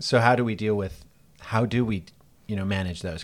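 Over a silent background in a very clean recording, a man with an unremarkable speaking voice talks at a fairly quick pace with ordinary pitch variation. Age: 50s. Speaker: university teacher. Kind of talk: casual chat. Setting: office.

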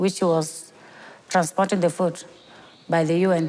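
A woman speaks at a fairly slow pace with a fairly low pitch. Her intonation is monotone and flat. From South Sudan. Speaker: refugee athlete. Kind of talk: interview.

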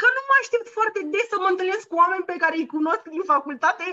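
Her voice raised and projected, a woman talks at a fairly quick pace with an extremely high pitch, very wide pitch swings and a bright, sharp tone. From Romania. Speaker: podcast co-host, former bank employee. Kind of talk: casual chat.

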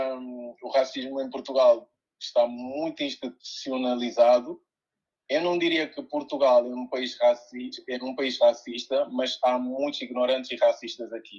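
A man at a fairly slow pace. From Guinea-Bissau, moved to Coimbra at 12. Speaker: DJ and music producer. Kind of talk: casual interview. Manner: halting, many repetitions.

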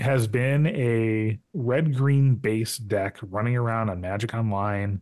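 A man with a normal speaking voice and an American accent talks at a medium pitch with ordinary pitch variation against a quiet background. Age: 30s. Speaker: podcast host. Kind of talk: casual chat.

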